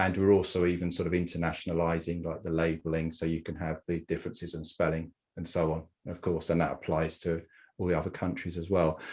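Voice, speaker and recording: A man with an English accent speaks very fast in a very deep, low voice, his intonation monotone and flat, over a quiet background. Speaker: genealogy software founder. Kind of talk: interview. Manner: hesitant, many fillers.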